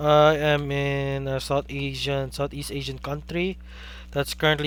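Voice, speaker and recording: Someone with a Filipino accent talks at a moderate pace. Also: man. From Philippines. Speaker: game commentator. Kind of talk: live commentary. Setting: live stream.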